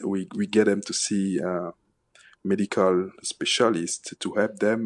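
Against a quiet background, a man speaks at a fairly slow pace and fairly low pitch, with a dry, close sound and no echo. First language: not English. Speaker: immigrant aid program director. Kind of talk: radio interview. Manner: halting, many pauses.

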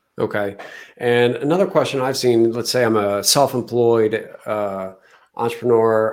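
Recorded very cleanly against a silent background, a man with a plain, everyday voice speaks at a medium pitch and a moderate pace. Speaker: podcast host. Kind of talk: casual interview.

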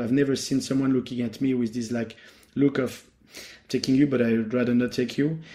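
Talking at a fairly quick pace, a man with a French accent has a fairly high pitch and a dark, mellow tone. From France, Paris. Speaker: former Paralympian. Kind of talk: interview.

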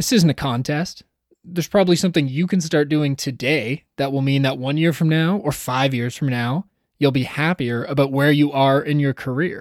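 In a Canadian accent, a plain, everyday voice speaks at a moderate pace with ordinary pitch variation, on a very clean recording with a silent background. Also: man, fairly high pitch for a man. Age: 30s. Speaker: podcast host. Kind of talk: scripted narration; interview.

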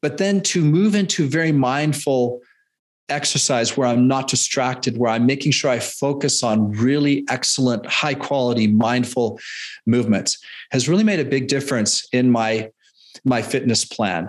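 This man has an ordinary speaking voice, with a medium pitch and ordinary pitch variation. He talks at a moderate pace with a Canadian accent. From Canada. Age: 50s. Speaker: fitness and nutrition coach. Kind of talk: interview conversation.

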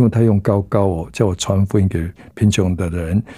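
On a very clean recording with a silent background, a man with a fairly low, somewhat breathy voice and a dark, mellow tone talks at a fairly quick pace. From southern Taiwan. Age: 70s. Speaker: pastor. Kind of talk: testimony.

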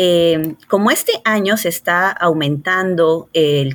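The speaker is a woman with a fairly low pitch. Her voice shows ordinary pitch variation. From Peru, Lima. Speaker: cardiologist. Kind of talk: interview. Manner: hesitant with frequent fillers.

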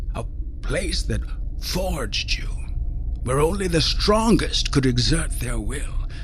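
A man performs in a put-on character voice. Clear background noise sits behind him. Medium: read story. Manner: menacing, intense, contemptuous.

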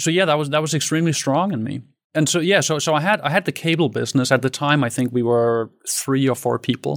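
A man with a Danish accent at a fairly quick pace, ordinary pitch variation, in a very clean recording with a silent background. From Denmark. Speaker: tech entrepreneur. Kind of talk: interview.

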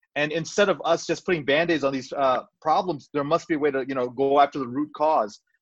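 A plain, everyday voice: a man at a fairly high pitch and fairly quick pace, with ordinary pitch variation and hardly any pauses. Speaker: cardiologist and entrepreneur. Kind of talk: casual interview.

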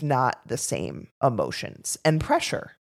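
This woman's pitch is very deep and low. Her voice carries vocal fry. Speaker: nutrition educator podcast co-host. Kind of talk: casual chat.

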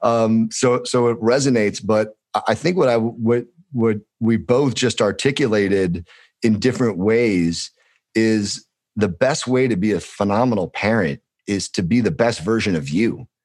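A man with a Californian accent and medium pitch, very even loudness, ordinary pitch variation, and a quiet background. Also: moderate pace. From Los Angeles, US. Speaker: former insurance worker. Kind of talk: casual chat.

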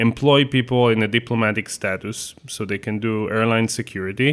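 In an Israeli accent, a man speaks at a fairly low pitch with monotone, flat intonation. The recording is very clean, the background silent. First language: Hebrew. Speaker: photographer and magazine co-founder. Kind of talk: interview conversation.

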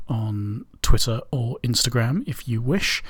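Very slow and somewhat breathy, the voice carries a relaxed tone. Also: man. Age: 30s. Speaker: radio DJ. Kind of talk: indie radio DJ patter, back-announcing tracks and chatting casually between songs. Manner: relaxed and meandering, heavy with ums and uhs; halting, with repeated words and throat-clearing.

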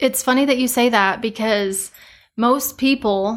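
A woman with an American accent has an unremarkable speaking voice, fairly high in pitch and fairly even in intonation. The recording is very clean, with a silent background. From eastern Colorado, rural. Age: 20s. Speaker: farmer and seed sales manager. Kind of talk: casual interview chat.

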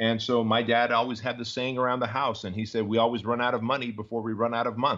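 An ordinary speaking voice with an American accent at a fairly quick pace. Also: man, quiet background. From Armenia, raised in the US from age 6. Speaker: entrepreneur and business coach. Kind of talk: interview.

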